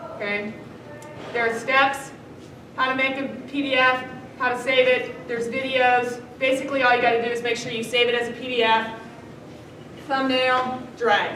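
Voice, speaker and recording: A woman speaks high-pitched and monotone, at a fairly quick pace. Audible room echo and noticeable background noise come through. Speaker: teacher. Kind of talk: classroom lecture.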